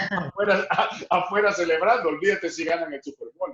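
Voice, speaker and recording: This man's voice sits high in pitch, bright and sharp in tone, with ordinary pitch variation. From El Salvador. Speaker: sports broadcaster. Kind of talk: interview answer.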